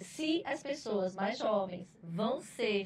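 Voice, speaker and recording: The woman speaks at a very slow pace. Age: 60s. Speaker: HR manager. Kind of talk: podcast panel discussion.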